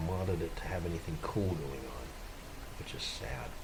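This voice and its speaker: The speech is mumbled, at a moderate pace with ordinary pitch variation. Noticeable background noise and audible room echo are present. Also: man. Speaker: gaming video creator. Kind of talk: gameplay tutorial. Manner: mumbling; halting.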